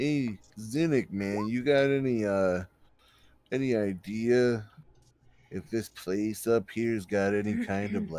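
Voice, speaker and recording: A man's put-on character voice, drawling at a fairly slow pace, medium in pitch with ordinary pitch variation. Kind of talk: stoner-style surfer drawl. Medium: actual play. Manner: laid-back, drawling, ends sentences with "man".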